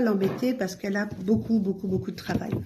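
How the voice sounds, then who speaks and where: Her voice is somewhat breathy, with a dark, mellow tone and a fairly high pitch for a woman. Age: 60s. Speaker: vlogger, pilgrim. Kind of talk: casual vlog. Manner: hesitant, many fillers.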